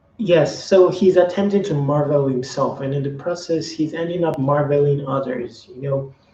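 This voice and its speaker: A fairly high-pitched man's voice with ordinary pitch variation, big swings in loudness and hardly any pauses, amid noticeable background noise. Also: moderate pace. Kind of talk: casual talk to camera, video commentary. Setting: home recording with some background noise.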